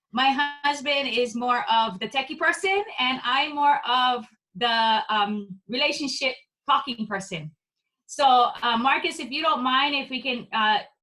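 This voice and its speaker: A woman speaks in a raised, projected voice with a bright, sharp tone and high pitch. Her intonation is lively and her pace fairly slow. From Hawaii (Maui). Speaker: course participant. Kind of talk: self-introduction on video call.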